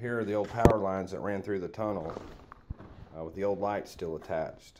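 Light background noise accompanies a man talking at a fairly quick pace in a very deep, low voice with fairly even intonation. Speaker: local history guide. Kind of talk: tour commentary. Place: tunnel cave. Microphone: phone near.

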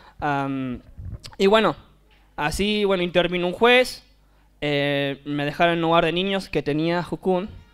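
Music plays behind a man with a high-pitched voice and ordinary pitch variation. He talks at a fairly slow pace, with long, frequent pauses. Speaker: youth mission worker. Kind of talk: testimony.

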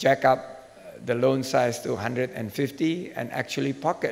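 Delivering his words at a very slow pace, a man keeps his intonation fairly even. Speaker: government minister, keynote speaker. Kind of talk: keynote speech. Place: hall. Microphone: podium.

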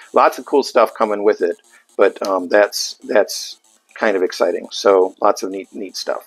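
A man speaks in a dry sound with no echo. Faint music plays in the background. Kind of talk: product demo talk. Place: shop. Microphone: lapel.

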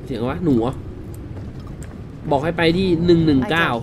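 Noticeable background noise runs under a man whose fairly high pitch shows ordinary pitch variation. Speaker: gaming YouTuber. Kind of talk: casual let's-play commentary. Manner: excitable, loose. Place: home room.

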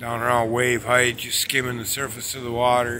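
Over a little background noise, a man talks at a medium speed. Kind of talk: casual vlog chat. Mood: relaxed, curious. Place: beach. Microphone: phone near.

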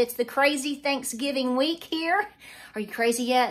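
A woman speaks fairly quickly with ordinary pitch variation, and the background is quiet. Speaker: homestead vlogger. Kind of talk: casual vlog chat. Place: kitchen. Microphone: phone near.

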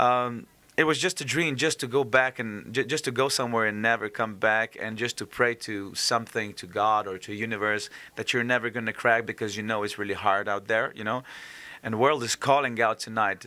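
In a Slovenian accent, a man speaks at a medium pitch with fairly even intonation and a bright, sharp tone. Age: 30s. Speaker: singer; interviewee. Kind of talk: interview. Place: hall. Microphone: handheld.

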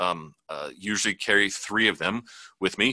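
The man's tone is bright and sharp, with monotone, flat intonation. The background is quiet, and the sound is dry with no echo. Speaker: photojournalist; news panelist. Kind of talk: panel discussion. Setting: video call. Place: office. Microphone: video call.

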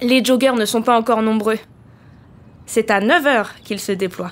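Fairly slow speech with ordinary pitch variation. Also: woman. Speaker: volunteer letter reader. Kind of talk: reading a letter aloud.

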